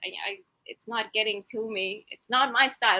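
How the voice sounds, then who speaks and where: A woman with a non-native accent speaks at a moderate pace. Her fairly high voice has a bright, sharp tone. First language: not English. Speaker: author. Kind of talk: casual chat.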